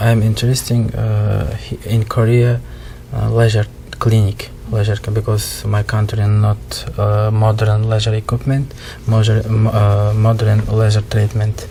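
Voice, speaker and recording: Fairly low-pitched man, monotone and flat, fairly slow pace, noticeable background noise. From Uzbekistan. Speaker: trainee doctor. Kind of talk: interview. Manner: halting.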